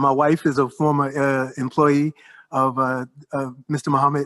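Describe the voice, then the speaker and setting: With a New York accent, a man talks at a fairly quick pace in a fairly high pitch and monotone, flat intonation, recorded dry and close with no echo against a quiet background. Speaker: professor. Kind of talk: roundtable discussion. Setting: panel before observers.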